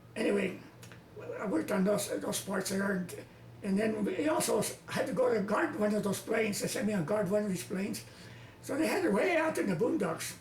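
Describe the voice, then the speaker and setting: Noticeable background noise sits behind a man speaking at a fairly quick pace. His pitch is high and his intonation lively. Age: 80s+. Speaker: war veteran. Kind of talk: interview answer.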